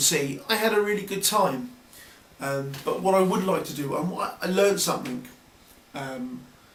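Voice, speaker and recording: Moderate pace, lively intonation and big swings in loudness, with long, frequent pauses, audible room echo and noticeable background noise. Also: man. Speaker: video blogger. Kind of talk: casual vlog monologue. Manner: hesitant, many fillers.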